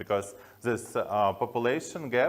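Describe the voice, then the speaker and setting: A man with a strong Slavic accent speaks at a moderate pace and medium pitch. The recording is very clean, with a silent background. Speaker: tech company founder. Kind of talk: conference talk. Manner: halting with many fillers.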